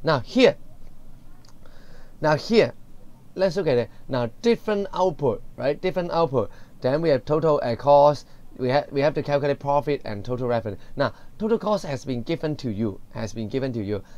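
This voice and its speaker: Very wide pitch swings and long, frequent pauses mark this moderate-paced speech in a Cantonese accent. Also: man, fairly high pitch for a man. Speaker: secondary school economics teacher. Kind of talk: lecture. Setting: recorded video lesson.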